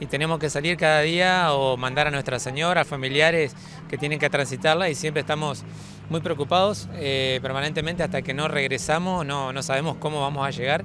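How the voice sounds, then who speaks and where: A man talks at a fairly quick pace in a fairly high pitch with fairly even intonation. The sound is dry with no echo, and there is noticeable background noise. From Argentina, Entre Ríos; Argentina. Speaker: local resident at a road protest. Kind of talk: street interview. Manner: halting, many fillers. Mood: concerned, earnest. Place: street.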